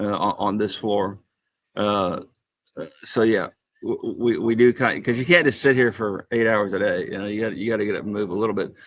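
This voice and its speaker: Against a quiet background, a man talks at a fairly quick pace with a medium pitch and fairly even intonation. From US Midwest, Indianapolis. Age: 60s. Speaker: author. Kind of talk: casual chat. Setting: convention hall. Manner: halting, many fillers and repeats.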